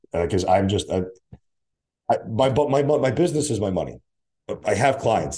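With an American accent, a man talks at a moderate pace in a dark, mellow tone, his pitch swinging very widely and his voice dipping into vocal fry. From US Northeast (Connecticut), born in Russia. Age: 30s. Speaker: fitness coach and event organizer. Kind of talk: casual chat.

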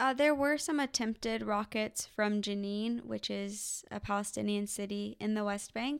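A woman's medium-pitched, plain, everyday voice at a moderate pace with hardly any pauses and ordinary pitch variation, in a very clean recording with a silent background. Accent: American. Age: 20s. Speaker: non-profit worker. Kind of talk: interview.

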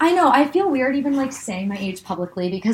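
A woman's pitch swings very widely, and her voice is somewhat breathy. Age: 20s. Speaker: medical student and podcast co-host. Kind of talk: casual chat.

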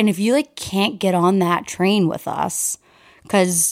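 A woman with a bubbly, animated tone speaks at a fairly slow pace in a very clean recording with a silent background. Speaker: podcast co-host. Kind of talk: casual chat between friends. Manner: loud, bubbly, animated.

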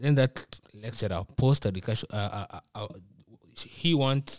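A man talks with a Kenyan accent. The recording is very clean, with a silent background. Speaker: university student. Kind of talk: casual chat. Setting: studio.

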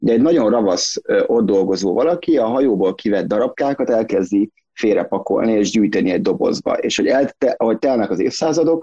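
The sound is dry and close, with no echo. His speech runs at a fairly quick pace. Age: 30s. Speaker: graphic designer and visual artist. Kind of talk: casual interview. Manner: halting, many repetitions.

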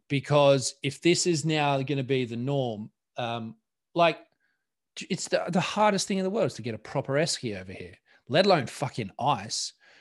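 Over a quiet background, a man with an Australian accent and fairly high pitch talks at a moderate pace, his intonation lively and his loudness swinging widely. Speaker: podcast co-host. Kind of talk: casual chat.

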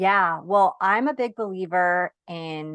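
An unremarkable speaking voice from a woman, fairly low-pitched with lively intonation and an American accent, dry and close with no echo over a quiet background. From New York. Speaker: productivity coach for moms. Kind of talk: interview.

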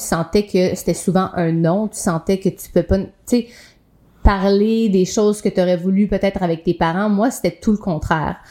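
A woman's dark, mellow tone at a medium pitch, moderate in pace, with ordinary pitch variation. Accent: Quebec. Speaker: podcast co-host, yoga instructor. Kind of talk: casual chat.

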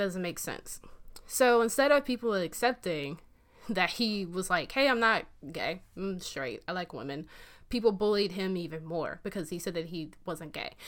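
In an American accent, a woman with an ordinary speaking voice talks at a moderate pace and medium pitch. Her intonation is lively, her loudness swings widely, and the recording is very clean with a silent background. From US South. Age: 20s. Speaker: podcast host. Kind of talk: casual chat. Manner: casual, opinionated.

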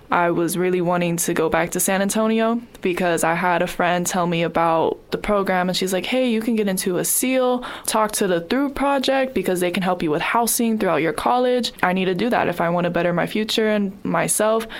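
A woman talks at a fairly quick pace and medium pitch, with ordinary pitch variation. Her loudness stays very even despite noticeable background noise. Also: hardly any pauses. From moved around US, Chicago and Texas. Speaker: college student, former foster youth. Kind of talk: recorded testimony.

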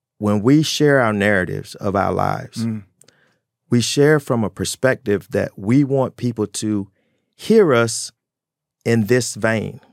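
On a very clean recording with a silent background and a dry, close sound with no echo, a man with an ordinary speaking voice talks at a fairly slow pace, his medium pitch showing ordinary variation. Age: 60s. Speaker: air force veteran, addiction counselor. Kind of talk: personal testimony in interview. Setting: studio.

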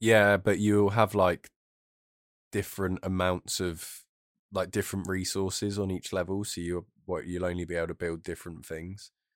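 Over a very clean recording with a silent background and a dry, close sound with no echo, a man with a British accent speaks in a croaky, very deep, low voice at a moderate pace with monotone, flat intonation. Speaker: podcast co-host.

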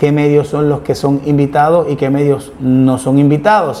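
Noticeable background noise is heard throughout. Over it, a man talks with fairly even intonation. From Puerto Rico, Ponce. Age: 50s. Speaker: lawyer and political analyst hosting an online show. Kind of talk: political commentary and interview.

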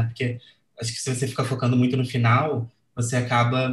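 Somewhat breathy, a man speaks at a moderate pace in a medium pitch. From Brazil, Rio de Janeiro. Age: 20s. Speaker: designer and letterer. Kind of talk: casual chat.

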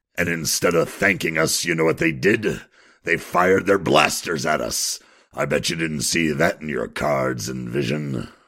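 At a moderate pace, a man talks in a very deep, low voice. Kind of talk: comic radio drama. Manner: grumpy, sarcastic, blunt.

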